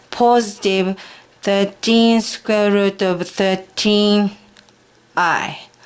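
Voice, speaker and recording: A woman speaks very slowly at a medium pitch, in a Japanese accent. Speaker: high school math teacher. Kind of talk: math tutorial lesson.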